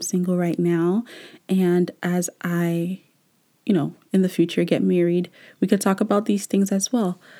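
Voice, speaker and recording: In a very clean recording with a silent background, a woman speaks at a fairly slow pace with a medium pitch and a dark, mellow tone. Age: 20s. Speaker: podcast host. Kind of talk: solo podcast monologue. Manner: casual, frequent laughter.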